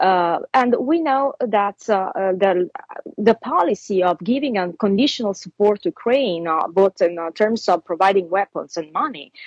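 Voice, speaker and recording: A woman's medium-pitched voice with an Italian accent and lively intonation, dry and close with no echo. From Italy. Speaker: fashion designer and commentator. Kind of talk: interview.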